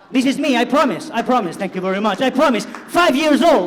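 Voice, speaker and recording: Speaking at a moderate pace in an animated tone, a man with an extremely high voice swings very widely in pitch over noticeable background noise. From Spain, Barcelona (Catalonia). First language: Spanish or Catalan. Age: 50s. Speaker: cybersecurity executive, conference speaker. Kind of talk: conference keynote talk. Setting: stage with audience.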